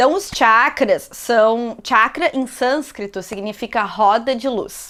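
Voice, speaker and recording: With a bright, sharp tone, a woman speaks at a high pitch and a very slow pace, using ordinary pitch variation and hardly any pauses. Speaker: yoga teacher. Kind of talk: yoga class instruction. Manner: casual, chatty.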